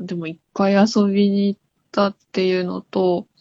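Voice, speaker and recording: A woman talks at a fairly slow pace in a medium-pitched voice. The sound is dry and close, with no echo. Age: 20s. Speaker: caller seeking a tarot reading. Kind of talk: casual chat. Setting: phone call. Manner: halting. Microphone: good phone line quality.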